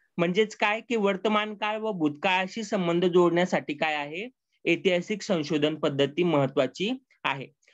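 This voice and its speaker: In a Marathi accent, a man talks with a high pitch and ordinary pitch variation. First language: Marathi (speaking Hindi). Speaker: lecturer. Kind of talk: lecture. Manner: halting, many fillers.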